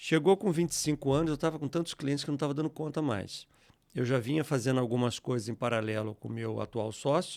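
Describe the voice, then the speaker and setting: On a very clean recording with a silent background and a dry, close sound with no echo, a man speaks fairly quickly at a fairly high pitch with ordinary pitch variation. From Rio de Janeiro state, Brazil (Teresópolis). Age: 60s. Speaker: software company founder. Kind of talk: interview.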